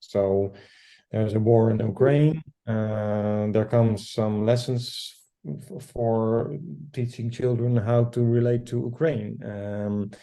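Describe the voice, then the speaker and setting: The speaker has a Dutch accent and a dark, mellow tone, talking at a fairly slow pace with fairly even intonation. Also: man. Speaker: educator. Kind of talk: group discussion. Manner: halting.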